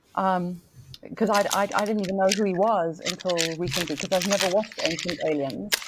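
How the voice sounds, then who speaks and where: At a moderate pace, a woman with a medium pitch uses an ordinary speaking voice and fairly even intonation. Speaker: guest co-reviewer. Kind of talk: casual chat.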